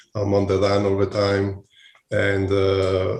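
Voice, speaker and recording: A man with an Italian accent speaks at a fairly slow pace in a fairly low pitch. His tone is dark and mellow, somewhat breathy, against a quiet background. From Italy. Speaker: hospitality executive. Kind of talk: interview. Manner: halting, many fillers.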